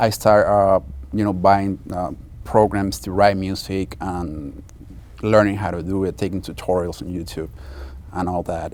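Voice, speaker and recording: With a Spanish accent, the talker keeps to a moderate pace. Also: man. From Mexico. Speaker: film composer. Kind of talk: interview. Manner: halting.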